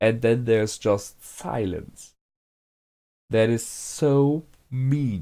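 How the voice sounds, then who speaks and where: This very clean recording with a silent background carries a man's medium-pitched voice with ordinary pitch variation. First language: not English. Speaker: anime reaction youtuber. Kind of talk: casual reaction commentary. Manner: hesitant, many fillers.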